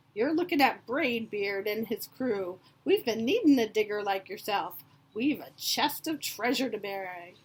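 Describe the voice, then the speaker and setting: Here a woman puts on a character voice at a fairly high pitch. She keeps a moderate pace. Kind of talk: picture book read-aloud acting. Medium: read story. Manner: loud, blustery.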